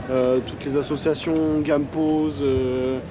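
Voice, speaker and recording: Over noticeable background noise and audible room echo, a man talks with a fairly high pitch and fairly even intonation. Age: 20s. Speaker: homeless man. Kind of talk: street interview. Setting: outdoors, street. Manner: halting, many fillers.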